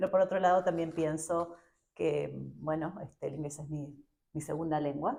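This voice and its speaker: In an Argentine accent, a woman speaks with a very deep, low pitch and a dark, mellow tone. Her pace is fairly slow, and her intonation fairly even. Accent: Argentine Spanish (Rioplatense). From Argentina. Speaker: education professor. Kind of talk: interview. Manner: hesitant, many fillers.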